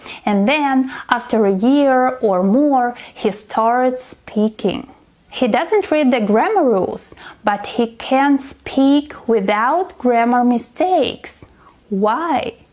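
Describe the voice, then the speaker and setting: A high-pitched woman with a non-native accent at a very slow pace, lively intonation and very even loudness, over noticeable background noise. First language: not English. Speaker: English teacher. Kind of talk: tutorial.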